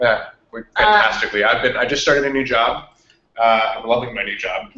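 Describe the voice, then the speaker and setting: An ordinary speaking voice from a man, medium in pitch, fairly quick, with fairly even intonation. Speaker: podcast co-host.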